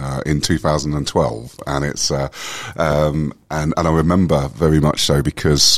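Over noticeable background noise, a man with a very deep, low pitch talks at a fairly slow pace in a monotone, flat intonation. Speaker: wellbeing company director. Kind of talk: casual interview chat. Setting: conference event.

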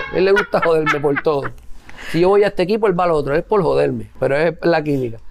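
A man at a very fast pace with very even loudness amid noticeable background noise. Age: 30s. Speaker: podcast co-host, father. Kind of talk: casual chat.

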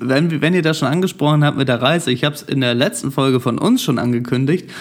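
The delivery moves very fast. Its intonation is fairly even. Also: man. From Germany. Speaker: podcast host. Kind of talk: casual chat.

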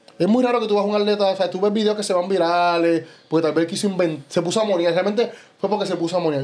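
The recording is very clean and the background silent. The words come very fast. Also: man. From Puerto Rico. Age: 30s. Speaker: bodybuilder. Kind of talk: casual chat.

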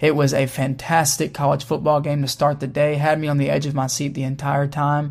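Fairly quick and with hardly any pauses, a man with a fairly high pitch talks in a somewhat breathy, monotone, flat way. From Kentucky, Louisville. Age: 20s. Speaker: college football podcast host. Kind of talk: casual sports podcast talk.

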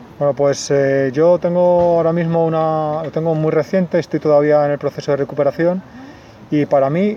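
Background noise is noticeable throughout. The speech is fairly quick, with monotone, flat intonation. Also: man. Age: 30s. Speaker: patient with multiple sclerosis. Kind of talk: personal testimony interview.

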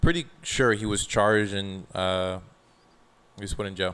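Fairly low in pitch, a man speaks with an American accent at a moderate pace. He has a plain, everyday voice. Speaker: podcast co-host. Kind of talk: casual chat. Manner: laughs often.

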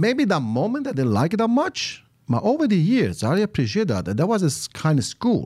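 A man's high-pitched voice with an Italian accent, fairly quick, very wide pitch swings, very even loudness, very clean recording with a silent background. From Italy, Campania (Salerno province village). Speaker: restaurant owner and farmer. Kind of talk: casual chat. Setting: studio.

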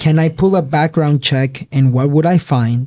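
A man with a fairly high pitch speaks in a somewhat breathy voice with a dark, mellow tone. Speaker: podcast host, real estate investor. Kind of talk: casual chat.

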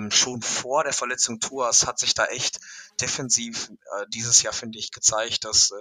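The man talks at a moderate pace in a medium pitch. His tone is bright and sharp, his intonation monotone and flat. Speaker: college football expert. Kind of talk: casual chat. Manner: halting, many fillers.

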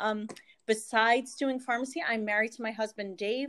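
A woman speaks in an ordinary speaking voice with an American accent, fairly high in pitch and at a moderate pace. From Northeast Pennsylvania. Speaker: pharmacist and direct sales leader. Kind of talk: casual interview chat.

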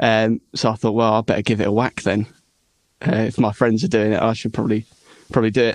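Very fast and fairly even in intonation, a man speaks at a medium pitch with very even loudness. The sound is dry and close with no echo, over a quiet background. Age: young. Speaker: rock musician and singer. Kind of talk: casual interview chat.

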